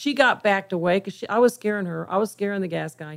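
With an American accent and a plain, everyday voice, a woman talks at a fairly quick pace, at medium pitch with ordinary pitch variation. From Kansas. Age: 60s. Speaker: forensic artist. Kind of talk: interview. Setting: radio studio.

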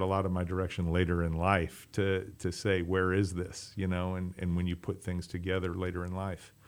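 Man with an American accent and a very deep, low pitch. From US Midwest, Chicago area. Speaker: restaurant owner. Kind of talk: interview. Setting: radio studio. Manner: halting, many fillers.

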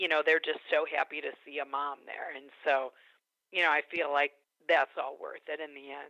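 Speaking at a moderate pace, a woman with a very deep, low pitch uses a monotone, flat intonation with big swings in loudness. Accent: American. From Chicago area, US Midwest. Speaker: stay-at-home mom returning to work. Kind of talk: radio interview. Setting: radio studio.

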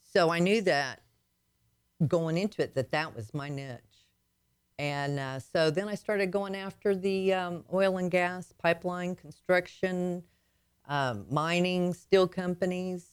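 A woman's fairly low voice with a slight Southern US accent, fairly slow, with ordinary pitch variation. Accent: slight Southern twang. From Arkansas. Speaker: logistics business owner, author. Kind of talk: radio interview. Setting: radio studio. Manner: halting, many fillers.

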